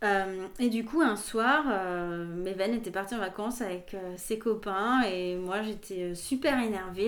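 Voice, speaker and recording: Against noticeable background noise, a woman is speaking. Her pace is fairly slow, with ordinary pitch variation. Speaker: journalist and podcaster. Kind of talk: casual interview chat. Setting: recorded at her home.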